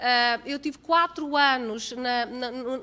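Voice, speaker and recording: Her bright, sharp tone carries in a raised, projected voice as this woman speaks with ordinary pitch variation. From Portugal. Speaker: accounting professor. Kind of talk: lecture. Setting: conference hall, seated at table with microphone.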